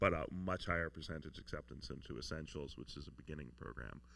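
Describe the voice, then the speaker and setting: Loud and very deep, a man's voice comes with a bright, sharp tone and vocal fry at a fairly quick pace. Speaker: film school admissions advisor. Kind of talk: q&a talk to students.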